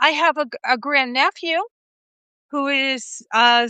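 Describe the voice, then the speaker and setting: A woman uses a raised, projected voice, high in pitch with a bright, sharp tone. The sound is dry and close with no echo, over a quiet background. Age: 60s. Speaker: dream interpreter. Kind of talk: casual chat. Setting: live video stream.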